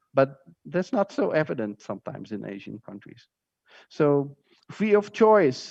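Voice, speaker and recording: Against a quiet background, a man speaks at a moderate pace with very wide pitch swings, his sound dry and close with no echo. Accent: Dutch. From Netherlands. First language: Dutch. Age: 40s. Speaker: teacher. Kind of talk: lecture. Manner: halting.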